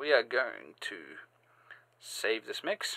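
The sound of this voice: Speaking slowly, a man uses a bright, sharp tone laced with vocal fry.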